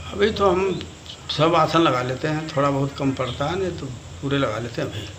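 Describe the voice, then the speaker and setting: Noticeable background noise sits behind a man who speaks at a moderate pace with a fairly high pitch and ordinary pitch variation. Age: 80s+. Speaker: yoga practitioner, ascetic. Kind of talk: interview answer.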